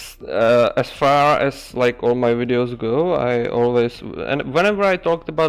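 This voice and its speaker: A man with a Czech accent speaks at a fairly slow pace, with music in the background. His pitch is medium, with ordinary pitch variation. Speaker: ant-keeping streamer. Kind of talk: casual chat. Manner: halting.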